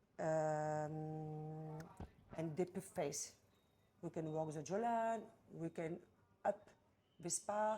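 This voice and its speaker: Very slowly and with long, frequent pauses, a woman with a French accent speaks at a very deep, low pitch, her tone dark and mellow and her pitch variation ordinary. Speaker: massage therapist and trainer. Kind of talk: explaining treatment. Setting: spa treatment room. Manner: halting non-native English.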